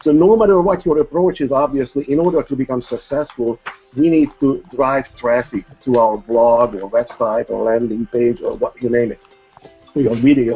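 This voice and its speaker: Over music in the background, a man with a non-native accent speaks at a moderate pace with ordinary pitch variation. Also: medium pitch for a man. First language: not English. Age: old. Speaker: internet marketer. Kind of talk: testimony. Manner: formal.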